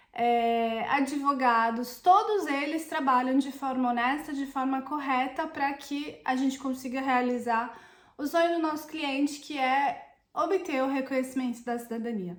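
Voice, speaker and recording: A woman at a high pitch and fairly slow pace, with ordinary pitch variation and hardly any pauses. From Brazil. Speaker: Italian citizenship consultant. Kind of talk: vlog monologue. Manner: hesitant, with fillers.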